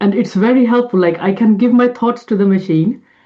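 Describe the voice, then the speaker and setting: A woman with a medium-pitched, somewhat breathy voice is speaking. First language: not English. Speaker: homeopath and podcast co-host. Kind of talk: casual interview chat.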